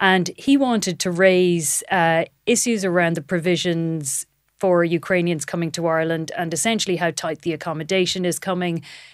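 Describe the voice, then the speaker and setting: With an Irish accent, a woman talks at a moderate pace and fairly low pitch, with ordinary pitch variation over a quiet background. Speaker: political reporter. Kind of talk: casual political chat. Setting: studio in parliament building.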